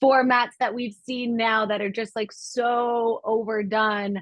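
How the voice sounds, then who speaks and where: A woman talks with a Southern California accent. Her pace is fairly slow. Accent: Valley girl. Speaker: PR agency founder. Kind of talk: podcast interview. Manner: casual, uses like a lot.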